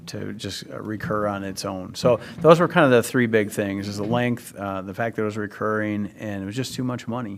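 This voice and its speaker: Speaking fairly quickly with hardly any pauses, a man uses a fairly low pitch, ordinary pitch variation and big swings in loudness. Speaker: community committee member presenting to school board. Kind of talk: public meeting presentation. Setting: school board meeting. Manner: hesitant, many fillers.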